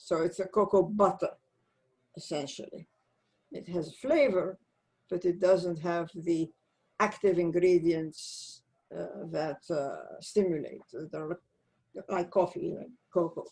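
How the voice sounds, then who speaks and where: A woman's fairly low voice at a very slow pace, dark and mellow with vocal fry, fairly even intonation, big swings in loudness, and long, frequent pauses. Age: 80s+. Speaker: former space agency science director and author. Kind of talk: interview conversation.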